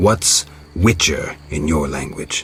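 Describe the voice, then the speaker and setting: A man growls in a put-on character voice with a very deep, low pitch. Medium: video game. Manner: terse, deadpan.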